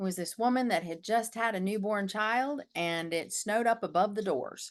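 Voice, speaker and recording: A woman with an American accent has an unremarkable speaking voice at a medium pitch. She speaks at a moderate pace with ordinary pitch variation against a quiet background. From US, northern Michigan then western North Carolina. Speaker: dream doula. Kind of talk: interview.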